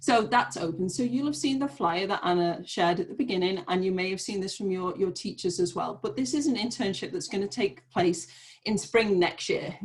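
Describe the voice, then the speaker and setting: Lively in intonation, a woman with a British accent speaks at a fairly quick pace with hardly any pauses. Her medium-pitched voice is somewhat breathy. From Great Britain. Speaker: nonprofit program manager. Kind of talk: online information session. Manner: fast.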